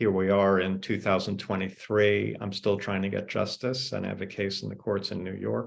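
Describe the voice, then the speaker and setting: At a moderate pace, a man talks with vocal fry and fairly even intonation. His pitch sits fairly low. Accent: American. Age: 60s. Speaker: author. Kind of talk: panel discussion. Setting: video call.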